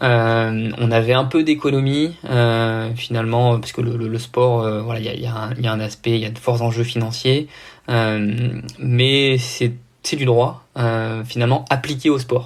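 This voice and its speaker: The recording is very clean with a silent background. A man speaks fairly slowly in a monotone, flat intonation. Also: medium pitch for a man. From southern France. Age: 20s. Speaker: triathlete and anti-doping official. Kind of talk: podcast interview. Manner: hesitant, many fillers.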